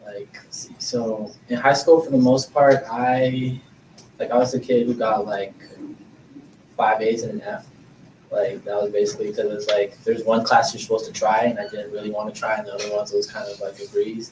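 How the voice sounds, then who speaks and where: Noticeable background noise surrounds a man speaking at a moderate pace. His medium pitch has ordinary variation. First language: not English. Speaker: college student panelist. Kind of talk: panel discussion. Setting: stage with audience. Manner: casual, filler-heavy.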